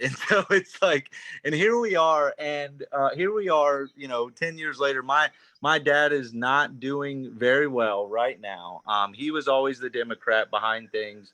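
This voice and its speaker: With an American accent, a man speaks at a fairly high pitch. His tone is bright and sharp, and his intonation is lively. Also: fairly slow pace. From North Carolina, Charlotte. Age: 30s. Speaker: new party volunteer. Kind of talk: casual self-introduction on group call.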